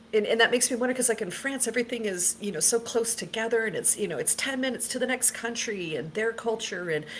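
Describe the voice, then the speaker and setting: A woman with an American accent at a fairly high pitch, very fast with hardly any pauses and ordinary pitch variation, over noticeable background noise. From United States. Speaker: paranormal experiencer. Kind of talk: casual chat.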